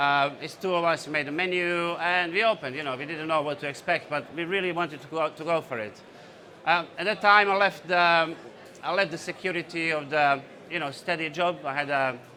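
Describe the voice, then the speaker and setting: A man with a Bosnian accent speaks at a fairly quick pace in a fairly high pitch for a man. His tone is bright and sharp, and his intonation stays fairly even. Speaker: entrepreneur. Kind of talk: conference talk. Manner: hesitant, many fillers.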